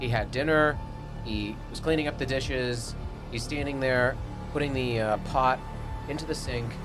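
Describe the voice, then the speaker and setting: A man at a moderate pace with fairly even intonation and long, frequent pauses, music playing in the background. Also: medium pitch for a man. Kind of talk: podcast co-host telling a personal ghost story. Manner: casual, conversational storytelling.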